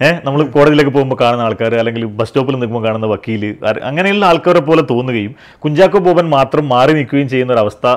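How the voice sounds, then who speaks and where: A man talks at a medium pitch with ordinary pitch variation. The background is quiet. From Malabar, northern Kerala; Kerala. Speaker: film director; interviewee. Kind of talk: interview. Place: home room.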